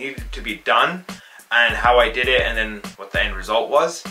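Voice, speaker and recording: Faint music plays in the background. A man talks over it at a moderate pace. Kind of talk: casual vlog chat. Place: home room.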